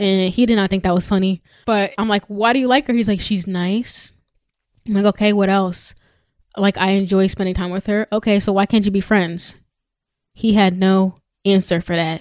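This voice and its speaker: A woman's unremarkable speaking voice, medium in pitch, at a moderate pace with fairly even intonation, dry and close with no echo, on a very clean recording with a silent background. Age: 20s. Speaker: podcast host. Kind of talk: casual chat.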